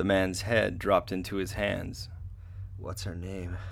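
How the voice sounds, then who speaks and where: This man talks at a fairly slow pace. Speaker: writer and performer of the story. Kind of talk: radio theatre dramatized fiction reading, narration with character voices. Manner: tense, hushed, dramatic narration, slow and deliberate; shifts between narrator and strained, emotional character voices.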